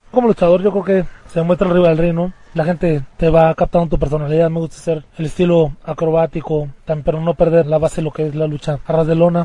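Speaking at a very fast pace, a man uses a high pitch and a monotone, flat intonation. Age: 20s. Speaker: professional wrestler. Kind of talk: interview.

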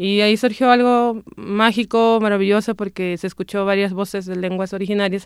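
On a very clean recording with a silent background, a woman with a northwestern Mexican accent speaks fairly quickly at a medium pitch, her intonation monotone and flat. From Punta Chueca, Sonora, Mexico. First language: Seri (speaking Spanish). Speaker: poet and singer. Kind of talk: personal testimony.

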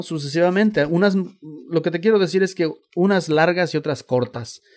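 The speaker is a man. His pace is fairly slow. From Mexico, Xalapa, Veracruz. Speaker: music journalist. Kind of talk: interview. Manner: halting, many fillers and repetitions.

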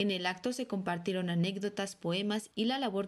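With a plain, everyday voice, a woman talks at a fairly quick pace, her medium pitch showing ordinary pitch variation. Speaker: radio reporter. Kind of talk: news reading. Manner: formal.

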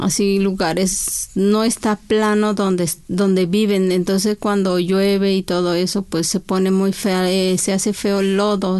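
A woman with an Oaxacan accent speaks at a fairly slow pace in a medium pitch, her intonation monotone and flat, with hardly any pauses. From Oaxaca, Mexico (Chinantla region). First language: Chinantec (speaking Spanish). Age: 40s. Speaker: poet and court interpreter. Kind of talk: interview. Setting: studio.

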